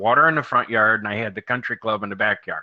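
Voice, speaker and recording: A man speaks at a medium pitch with ordinary pitch variation and a slight Midwestern accent. Noticeable background noise is present. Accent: slight Midwest. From US, moved around. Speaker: marketing guest. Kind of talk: casual chat.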